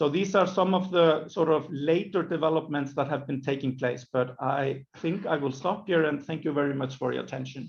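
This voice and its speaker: A man speaks at a moderate pace in a fairly high, somewhat breathy voice with ordinary pitch variation and hardly any pauses. Audible room echo surrounds the recording. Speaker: government minister. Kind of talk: conference presentation.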